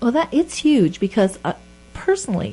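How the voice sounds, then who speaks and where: Over noticeable background noise, a woman speaks in a high voice that swings very widely in pitch. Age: 60s. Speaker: radio host. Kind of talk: casual chat.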